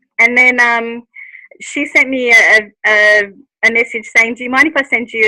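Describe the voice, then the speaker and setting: Dry and close, with no echo, the recording carries a woman with an Australian accent. Her intonation is fairly even and her pace moderate. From Australia (Melbourne). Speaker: speaker at a lifestyle event. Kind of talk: personal testimony talk. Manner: halting, many fillers.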